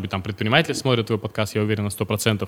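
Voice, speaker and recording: A man speaks with a bright, sharp tone. The recording is very clean with a silent background. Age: 30s. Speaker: finance company founder. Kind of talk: casual interview.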